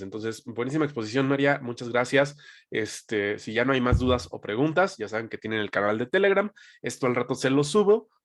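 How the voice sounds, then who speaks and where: A man in a plain, everyday voice, medium-pitched and fairly quick, against a quiet background. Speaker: sales team trainer. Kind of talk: training session. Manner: conversational.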